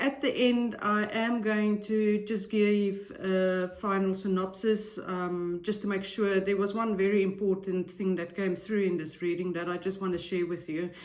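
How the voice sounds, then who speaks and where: Fairly slow speech from a woman at a medium pitch, noticeable noise behind it. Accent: non-native. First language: not English. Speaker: tarot reader and psychic YouTuber. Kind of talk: casual vlog intro. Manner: hesitant, frequent filler ums.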